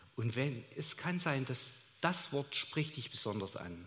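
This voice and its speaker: A man at medium pitch, very slow pace and lively intonation, with audible room echo. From Saxony, Chemnitz. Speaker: church member sharing experiences. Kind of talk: onstage interview testimony. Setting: church service with congregation.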